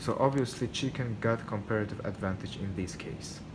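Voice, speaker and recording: A man with a non-native accent speaks at a moderate pace in a medium pitch, with ordinary pitch variation and audible room echo. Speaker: student. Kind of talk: class presentation. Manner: hesitant, many fillers.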